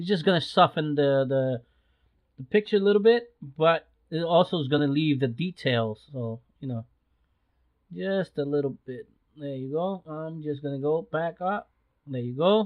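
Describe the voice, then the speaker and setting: With big swings in loudness, a man talks at a moderate pace in a fairly high pitch and lively intonation. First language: not English. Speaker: photography youtuber. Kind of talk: tutorial. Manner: halting, many fillers; casual.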